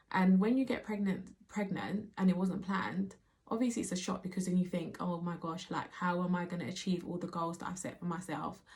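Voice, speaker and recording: A woman with a British accent talks at a fairly quick pace with hardly any pauses. Her voice is medium-pitched and somewhat breathy. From Nigerian background. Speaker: mother. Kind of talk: casual talk to camera.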